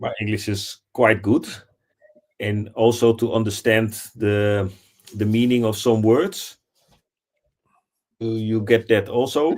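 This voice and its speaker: A man with a non-native accent and a medium pitch speaks at a very slow pace in a monotone, flat intonation, with long, frequent pauses. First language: not English. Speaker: assistant, licensed football agent. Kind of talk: live stream discussion.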